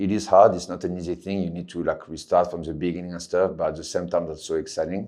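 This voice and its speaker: A man speaks at a very fast pace. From France. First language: French. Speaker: MMA fighter. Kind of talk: interview.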